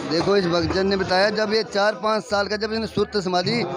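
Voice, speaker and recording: High pitch from a man at a moderate pace, with crowd noise in the background. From Haryana, Sirsa district. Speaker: village vlogger and comedian reporting from a fair. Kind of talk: on-location vlog with interviews.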